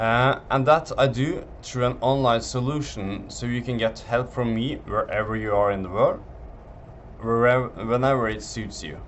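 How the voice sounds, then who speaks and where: A man's medium-pitched voice with a Norwegian accent. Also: fairly even intonation, moderate pace. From Norway. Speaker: physiotherapist selling online tendon program. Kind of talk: sales pitch presentation. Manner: halting, with fillers.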